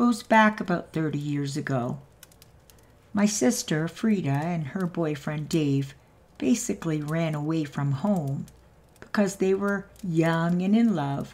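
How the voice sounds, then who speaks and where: A somewhat breathy woman with fairly low pitch speaks at a very slow pace with lively intonation. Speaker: channel host narrator. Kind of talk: story reading narration.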